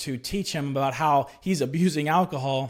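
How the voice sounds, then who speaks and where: On a very clean recording with a silent background, a man with an unremarkable speaking voice talks at a fairly high pitch with ordinary pitch variation. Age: 30s. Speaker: podcast host, former Marine sharing faith testimony. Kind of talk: personal testimony monologue. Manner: conversational with frequent filler words.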